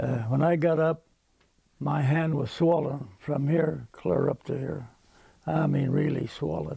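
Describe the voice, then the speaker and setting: In an American accent, the speaker talks at a fairly slow pace with ordinary pitch variation, vocal fry and a dark, mellow tone. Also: man, fairly high pitch for a man. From Nebraska, Genoa area, US. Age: 80s+. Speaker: war veteran. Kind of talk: interview. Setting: outdoors.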